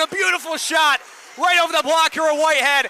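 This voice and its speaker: A man speaks at an extremely high pitch, his voice raised and projected. Noticeable background noise is present. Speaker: hockey play-by-play announcer. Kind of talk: sports play-by-play commentary. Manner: excited goal calls.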